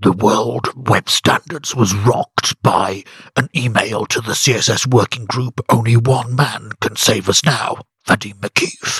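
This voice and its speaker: A man puts on a character voice with a dramatic tone, speaking fairly slowly at a medium pitch with ordinary pitch variation, recorded dry and close with no echo. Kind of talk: special put-on voice. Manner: dramatic, portentous.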